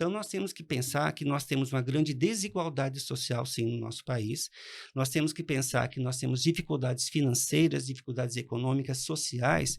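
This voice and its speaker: A man speaks at a medium pitch with vocal fry. The background is quiet. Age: 60s. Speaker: economics professor. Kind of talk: interview.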